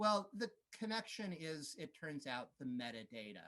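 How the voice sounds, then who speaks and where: Using very wide pitch swings, a man with an American accent talks at a fairly slow pace. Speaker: beamline scientist. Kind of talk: conference talk. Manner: hesitant, many fillers.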